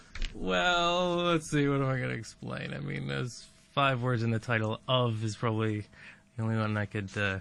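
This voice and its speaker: Speaking at a moderate pace, a man's voice swings very widely in pitch. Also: medium pitch for a man. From Canada. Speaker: mathematics lecturer. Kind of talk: casual interview chat.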